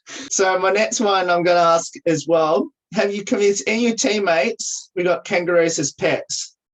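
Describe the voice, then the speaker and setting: Speaking with an Australian accent, a woman at medium pitch uses lively intonation at a moderate pace. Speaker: radio host. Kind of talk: casual interview. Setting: video call.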